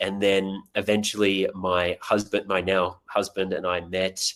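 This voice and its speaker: A man speaks with an Australian accent in a fairly low pitch, at a fairly slow pace. His intonation is flat and monotone, and the recording is very clean with a silent background. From Australia, Tasmania. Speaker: actor. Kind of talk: podcast interview.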